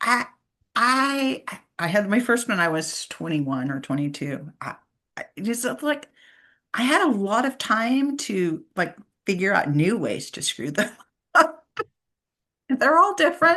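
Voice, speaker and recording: A woman's voice has a bright, sharp tone and vocal fry, with very wide pitch swings. She leaves long, frequent pauses. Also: fairly high pitch for a woman, fairly slow pace. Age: 60s. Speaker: podcast host. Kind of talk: podcast interview. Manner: halting, repeats words.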